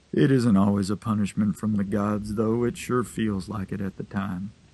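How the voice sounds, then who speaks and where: A man puts on a character voice that is rumbling, warm in tone and fairly low in pitch. He keeps a moderate pace and fairly even intonation. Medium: read story. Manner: warm, unhurried, folksy.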